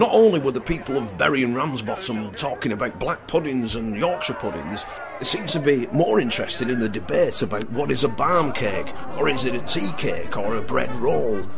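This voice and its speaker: The speaker's intonation is lively. Music plays in the background. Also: man, medium pitch for a man, fairly quick pace. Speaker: roving reporter. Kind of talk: documentary voice-over narration.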